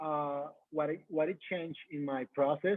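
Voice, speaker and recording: With a Mexican accent, a man talks at a fairly high pitch. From Mexico. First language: Spanish. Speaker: coach. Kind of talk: testimony. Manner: halting.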